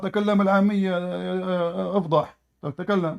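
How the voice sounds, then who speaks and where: A man speaks with an Arabic accent. The recording is very clean, with a silent background. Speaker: debater. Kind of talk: heated debate. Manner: animated.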